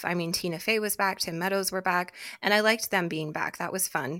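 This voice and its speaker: Bright and sharp in tone, a woman speaks with ordinary pitch variation. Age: 30s. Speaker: podcast co-host. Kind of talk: casual chat.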